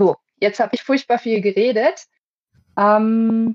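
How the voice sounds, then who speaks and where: A woman is speaking. Her voice is fairly high in pitch. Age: 20s. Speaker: podcast host. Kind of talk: casual chat. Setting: video call.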